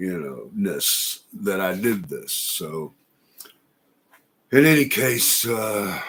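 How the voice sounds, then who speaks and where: A man speaks at a very slow pace with long, frequent pauses. His pitch is fairly low and swings very widely. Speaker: vlogger. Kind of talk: personal video diary. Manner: halting.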